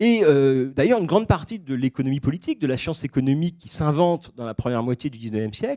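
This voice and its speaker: The man's pitch moves in very wide swings. His tone is dark and mellow. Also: dry, close sound with no echo. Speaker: historian giving a public talk. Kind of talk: lecture. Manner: fast; hesitant, many fillers.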